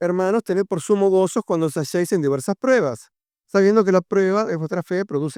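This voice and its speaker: The sound is dry and close, with no echo. The tone of the voice is dark and mellow. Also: man. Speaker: preacher. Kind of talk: sermon. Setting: church youth meeting. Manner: fast.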